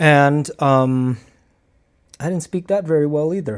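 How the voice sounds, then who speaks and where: A man speaks with a Cambodian accent and ordinary pitch variation. The recording is very clean, with a silent background. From Cambodian background, English learned by age nine. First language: Khmer. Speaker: martial arts instructor and vlogger. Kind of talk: casual vlog talk to camera. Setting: talking to a camera. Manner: halting, with many fillers.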